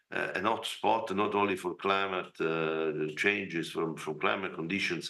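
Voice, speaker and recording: A man with a bright, sharp tone speaks at a fairly slow pace and with fairly even intonation, with audible room echo. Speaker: representative of an agriculture organization. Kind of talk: conference speech. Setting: video call. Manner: halting.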